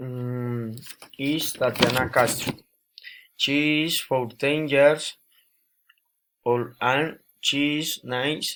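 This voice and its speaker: With a Spanish accent, a man speaks in a monotone, flat way at a fairly high pitch, leaving long, frequent pauses. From Colombia, Boyacá. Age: 20s. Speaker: student. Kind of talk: language practice self-introduction. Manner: halting.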